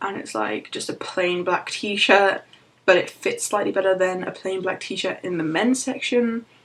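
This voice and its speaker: Speaking fairly slowly in an unremarkable speaking voice, a woman keeps to a medium pitch with ordinary variation. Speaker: vlogger. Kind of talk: personal vlog.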